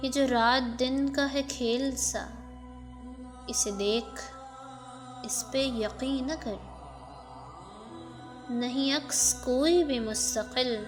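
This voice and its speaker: A woman's high-pitched voice over background music. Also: fairly even intonation. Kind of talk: poetry reading.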